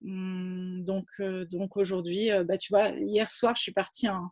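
Speaking very slowly, a woman has a somewhat breathy voice. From Provence, southern France. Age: 30s. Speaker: founder of women's environmental initiatives. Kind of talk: interview. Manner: halting, many repetitions.

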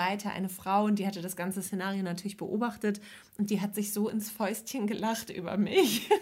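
A woman with a medium-pitched, somewhat breathy voice talks at a moderate pace. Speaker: podcast co-host. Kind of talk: casual chat.

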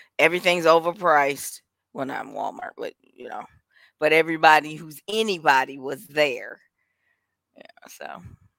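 A woman with an American accent, at a moderate pace, with long, frequent pauses and big swings in loudness. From Milwaukee, Wisconsin. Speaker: podcast co-host. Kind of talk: casual chat. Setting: live stream.

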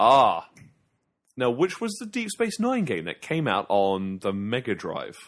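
Fairly slow and fairly high-pitched, a man's voice makes very wide pitch swings in a very clean recording with a silent background. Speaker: video game podcast co-host. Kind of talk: casual chat. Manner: loud.

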